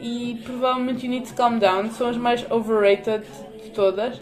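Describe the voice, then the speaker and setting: A woman talks in a high pitch. Music plays in the background. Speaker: podcaster. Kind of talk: casual monologue. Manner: animated.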